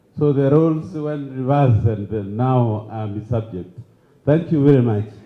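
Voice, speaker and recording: Heard with audible room echo, a man speaks at a moderate pace and a medium pitch, with ordinary pitch variation. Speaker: engineer. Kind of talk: vote of thanks speech.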